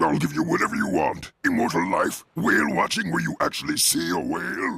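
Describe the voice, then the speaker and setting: Put-on, growling character voice from a man at a fairly quick pace. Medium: cartoon. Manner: gruff, grumbling.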